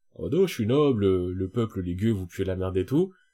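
A man with a dark, mellow tone speaks at a fairly quick pace with lively intonation. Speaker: podcast co-host. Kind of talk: casual chat. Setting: studio. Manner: talkative, rambling.

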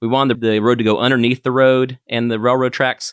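On a very clean recording with a silent background, a man with an American accent and an ordinary speaking voice talks at a fairly quick pace at medium pitch. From North Carolina, Asheville. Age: 30s. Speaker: town council candidate. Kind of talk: interview. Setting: studio.

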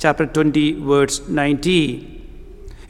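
A man speaks with a Keralan accent over noticeable background noise. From India (Kerala). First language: Malayalam. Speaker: visiting preacher and missionary trainer. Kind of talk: sermon. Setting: church with congregation. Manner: hesitant, many fillers.

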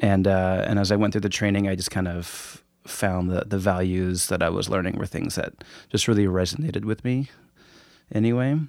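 In a very clean recording with a silent background, the speaker uses a Pacific Northwest accent, talking at a fairly quick pace with ordinary pitch variation. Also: man, fairly low pitch for a man. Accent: American (Pacific Northwest). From Woodinville, Washington. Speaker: yoga teacher. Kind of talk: casual chat.

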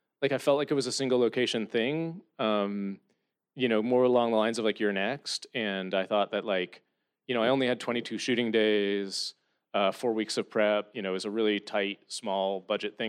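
A man with a fairly low pitch and an unremarkable speaking voice talks with ordinary pitch variation against a quiet background. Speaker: film director and writer. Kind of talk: Q&A with audience. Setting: stage with audience.

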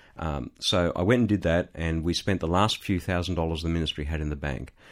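A man talks at a fairly quick pace with a very deep, low pitch. The recording is very clean, with a silent background. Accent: Australian. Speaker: ministry CEO and former businessman. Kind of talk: interview testimony. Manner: hesitant with fillers.

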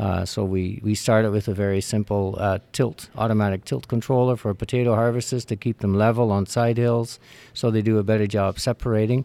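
A man's fairly low voice, dark and mellow, at a fairly quick pace with hardly any pauses, very even loudness and fairly even intonation. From Netherlands. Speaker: agricultural electronics sales executive. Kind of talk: interview.

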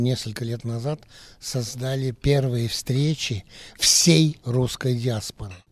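On a very clean recording with a silent background, a man at medium pitch talks at a fairly slow pace with fairly even intonation. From France, Paris. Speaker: journalist. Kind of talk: interview. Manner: hesitant.

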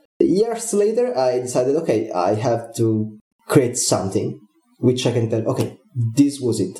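A man of medium pitch talks with lively intonation in an Italian accent, and room echo is audible. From Italy. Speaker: game developer. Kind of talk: interview.

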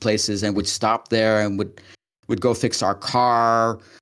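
A man speaks at a moderate pace and fairly low pitch with fairly even intonation. It is a normal speaking voice on a very clean recording with a silent background. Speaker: podcast co-host. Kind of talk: casual conversation.

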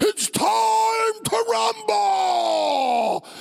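The voice is a booming, put-on character voice. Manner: hyped, announcer-style.

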